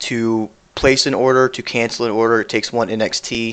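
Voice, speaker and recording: A man's medium-pitched, monotone, flat delivery at a moderate pace. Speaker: cryptocurrency developer answering community questions. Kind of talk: live-stream Q&A. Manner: casual, many fillers.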